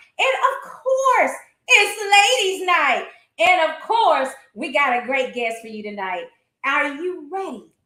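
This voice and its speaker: A woman's extremely high, bright, sharp voice, raised and projected, with very wide pitch swings, big swings in loudness and a very slow pace. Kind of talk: podcast host talk.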